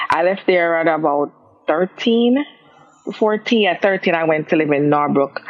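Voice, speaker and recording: Over noticeable background noise, a woman speaks at a moderate pace in a fairly low voice. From Jamaica, Kingston. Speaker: gospel singer. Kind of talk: interview. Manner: halting.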